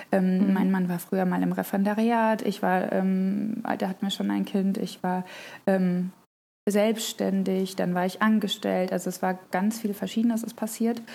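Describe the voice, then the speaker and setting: Over a very clean recording with a silent background, a woman at medium pitch speaks at a moderate pace in a dark, mellow tone with monotone, flat intonation. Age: 30s. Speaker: mother of three, crafter on social media. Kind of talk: casual interview chat.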